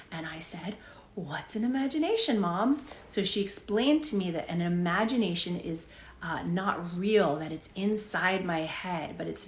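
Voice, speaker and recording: Audible room echo surrounds a voice with lively intonation at a moderate pace. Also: woman. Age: 40s. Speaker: spiritual teacher. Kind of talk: live-streamed talk.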